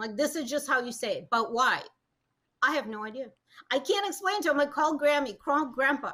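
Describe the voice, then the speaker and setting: Raised and projected, a woman's high, bright, sharp voice in a Russian accent moves at a fairly quick pace with lively intonation and big swings in loudness. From Russia, moved to US at 13. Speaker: matchmaker. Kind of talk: casual chat.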